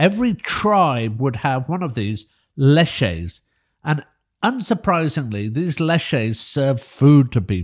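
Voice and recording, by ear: Speaking slowly, a man at medium pitch makes big pitch swings.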